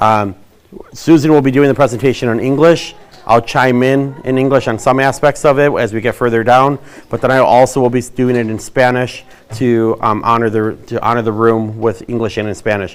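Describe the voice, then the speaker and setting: Fairly quick is the pace of this man's speech. He keeps his intonation fairly even. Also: medium pitch for a man. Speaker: school district administrator. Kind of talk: bilingual information presentation. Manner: fast.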